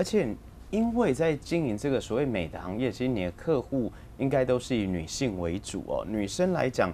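The tone is dark and mellow, with very wide swings in pitch. The pace is moderate over light background noise. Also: man. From Taiwan. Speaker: local TV talk show host; talk show host. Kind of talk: interview. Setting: studio. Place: studio. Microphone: lapel.

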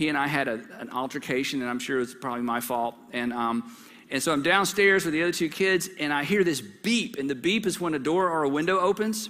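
A man's bright, sharp voice at a fairly quick pace. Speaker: pastor. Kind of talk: sermon. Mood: warm, humorous. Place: church. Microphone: headset.

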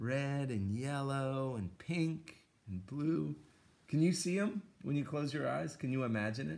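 Reading aloud in a natural voice, the speaker's intonation is lively.

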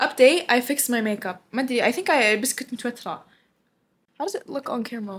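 Speaking at a very fast pace, a woman with an Arabic accent uses a high pitch, lively intonation and an animated tone. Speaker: vlogger. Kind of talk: casual vlog, monologue to camera, mixing English and Arabic. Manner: animated, casual, code-switching. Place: home room. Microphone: webcam.

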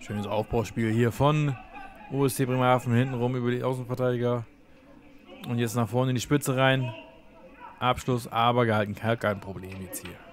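Long, frequent pauses break up a man's medium-pitched speech, which has big swings in loudness amid noticeable background noise. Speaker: sports video commentator. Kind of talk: live match commentary over highlight clips. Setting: online video voiceover. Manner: brisk, rapid-fire play-by-play with short clipped phrases; casual, enthusiastic fan tone.

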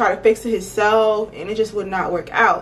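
A woman at a moderate pace against light background noise. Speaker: beauty vlogger. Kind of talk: casual storytime vlog chat. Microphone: phone near.

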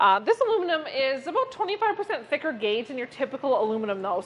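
At a moderate pace, a woman is speaking. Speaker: RV salesperson. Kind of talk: product walkthrough. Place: hall.

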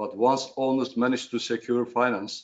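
A man at a medium pitch with a Turkish accent, at a fairly slow pace. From Turkey. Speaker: shipowner. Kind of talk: panel presentation. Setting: video call. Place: office. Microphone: headset.

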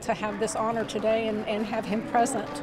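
A woman's fairly high-pitched voice over noticeable background noise. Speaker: relative of honored veteran. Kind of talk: interview answer. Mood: warm, proud, moved. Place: church. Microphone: handheld.

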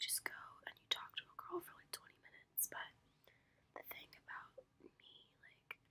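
The woman whispers. She keeps a moderate pace. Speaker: college student vlogger. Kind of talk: casual vlog chat. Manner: soft, close ASMR storytelling voice. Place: home room. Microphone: phone near.

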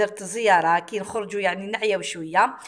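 A woman speaks at a moderate pace with fairly even intonation in a plain, everyday voice. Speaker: cooking vlogger. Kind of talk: vlog narration.

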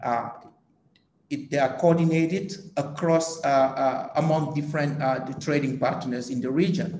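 Audible room echo surrounds a man with a fairly high pitch and fairly even intonation. He speaks at a fairly slow pace with long, frequent pauses. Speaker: agricultural policy economist. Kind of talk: panel discussion. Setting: video call. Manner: hesitant, many filler sounds. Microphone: video call.

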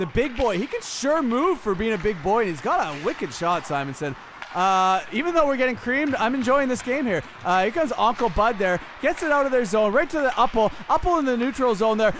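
An animated voice races at a fairly quick pace with very wide pitch swings, accompanied by noticeable background noise. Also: man, extremely high pitch for a man. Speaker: commentator. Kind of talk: sports commentary, play-by-play of a recreational hockey game. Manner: animated, quick play-by-play calls, jokey and teasing; excitable on goals, casual banter with co-host.

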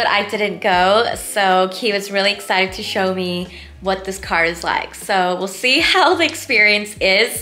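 Music plays in the background as the speaker talks at a moderate pace with ordinary pitch variation. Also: woman. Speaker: vlogger. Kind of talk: casual vlog chat. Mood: cheerful, excited. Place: home room. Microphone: phone near.

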